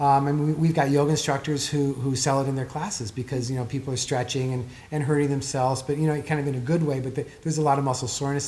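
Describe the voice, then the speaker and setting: A man's fairly high voice at a very fast pace with hardly any pauses, fairly even intonation and noticeable background noise. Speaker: author and performance therapist. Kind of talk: interview. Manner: expressive.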